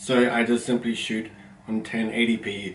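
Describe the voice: Loud and fairly low-pitched, a man talks with little pitch movement amid audible room echo. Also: moderate pace.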